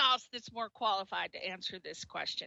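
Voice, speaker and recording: An energetic voice comes through in a strong East Coast US accent. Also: woman. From Connecticut. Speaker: radio host. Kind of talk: radio interview.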